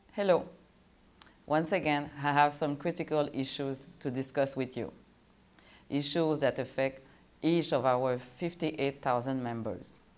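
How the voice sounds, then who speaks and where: A woman's very deep, low voice with a French accent, at a fairly slow pace with fairly even intonation and long, frequent pauses, on a very clean recording with a silent background. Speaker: union president. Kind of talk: prepared statement.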